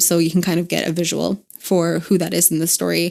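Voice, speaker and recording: A woman with an American accent talks at a moderate pace. She has an ordinary speaking voice with a fairly low pitch. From United States. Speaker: podcast co-host. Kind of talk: casual chat.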